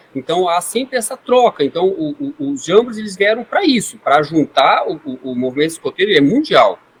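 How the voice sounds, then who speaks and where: Talking at a fairly quick pace with hardly any pauses, a man with a high voice swings very widely in pitch. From Brazil, Foz do Iguaçu (Paraná). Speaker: scouting leader. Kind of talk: podcast interview.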